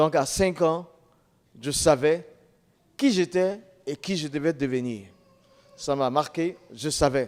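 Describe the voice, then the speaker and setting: At a very slow pace with long, frequent pauses, a man speaks in a fairly high pitch with ordinary pitch variation. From Ivory Coast. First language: an Ivorian language (speaking French). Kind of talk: testimony.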